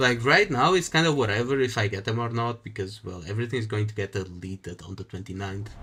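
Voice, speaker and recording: Barely pausing, a man rattles along at a very fast pace in a bright, sharp tone. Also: fairly low pitch for a man, ordinary pitch variation. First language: Portuguese. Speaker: gaming streamer. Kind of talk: live gameplay stream. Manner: some trouble pronouncing words.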